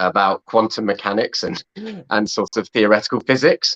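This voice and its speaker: A man speaks at a medium pitch in an English accent. The sound is dry and close with no echo, over a quiet background. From England. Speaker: film director and actor. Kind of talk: interview. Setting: video call.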